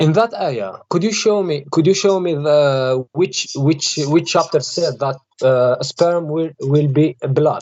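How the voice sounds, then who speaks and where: Speaking at a very slow pace, a man with an Algerian accent uses a fairly high pitch and ordinary pitch variation. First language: Arabic. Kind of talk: religious debate. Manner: halting.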